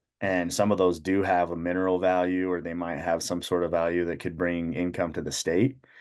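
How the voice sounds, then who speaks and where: Over a quiet background, a man with an American accent speaks in a very deep, low pitch with monotone, flat intonation. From Utah. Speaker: shed hunter. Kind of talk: casual chat.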